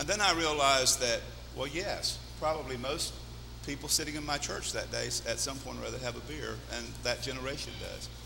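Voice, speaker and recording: A man talks fairly quickly while room echo rings out and background noise stays noticeable. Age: 60s. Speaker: pastor. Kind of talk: sermon.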